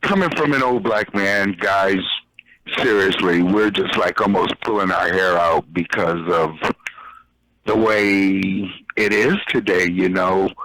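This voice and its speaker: At a fairly slow pace and a fairly low pitch, a man speaks with very even loudness, ordinary pitch variation and long, frequent pauses. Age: 50s. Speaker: caller. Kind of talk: casual chat.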